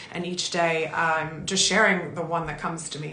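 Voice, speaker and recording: Audible room echo surrounds a woman who speaks at a fairly quick pace. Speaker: talk show host and author. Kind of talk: motivational monologue.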